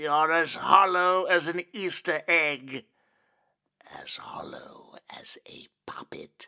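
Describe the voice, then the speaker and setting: Whispering in a put-on character voice, a man speaks at a very slow pace with long, frequent pauses. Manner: sly, gloating, softly menacing; eerily excited at the end.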